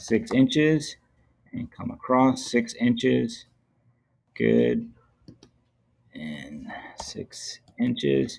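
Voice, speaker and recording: Against a quiet background, a man speaks very slowly with long, frequent pauses and big swings in loudness. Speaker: teacher. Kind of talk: tutorial. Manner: casual. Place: home room.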